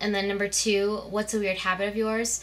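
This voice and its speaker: This woman's voice sits at a medium pitch, and she talks at a fairly quick pace. Background noise is noticeable throughout. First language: Spanish. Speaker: beauty vlogger. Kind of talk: casual chat.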